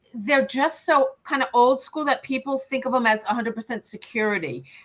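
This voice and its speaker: In a New York accent, a woman speaks at a fairly quick pace. Her high voice shows ordinary pitch variation. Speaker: financial advisor, podcast co-host. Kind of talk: live Q&A webinar podcast.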